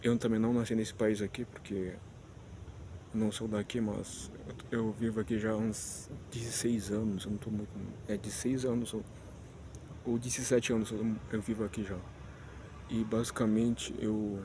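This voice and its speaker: The speaker has a dark, mellow tone and talks at a moderate pace in a monotone, flat intonation, with long, frequent pauses. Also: man, medium pitch for a man. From Spanish-speaking country, not Brazil. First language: Spanish (speaking Portuguese). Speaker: vlogger. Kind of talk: casual vlog monologue. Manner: halting, many restarts and fillers.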